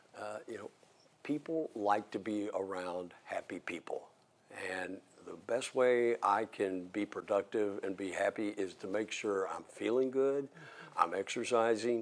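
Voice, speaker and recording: Speaking with an American accent, a man with fairly low pitch goes at a fairly slow pace with ordinary pitch variation and big swings in loudness, over noticeable background noise. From southern Indiana (Jeffersonville). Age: 60s. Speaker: mayor. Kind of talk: interview.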